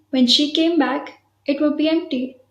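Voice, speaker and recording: A woman speaks with an Indian accent. Her pace is moderate and her intonation fairly even. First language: Hindi. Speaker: vlogger. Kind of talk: guided breathing exercise; personal story vlog.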